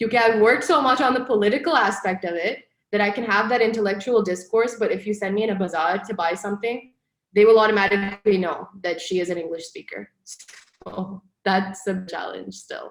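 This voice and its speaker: At a fairly quick pace, a woman of medium pitch speaks with a slight non-native accent and ordinary pitch variation. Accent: slight non-native accent in Urdu. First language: Pashto. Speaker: broadcast journalist. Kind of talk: interview.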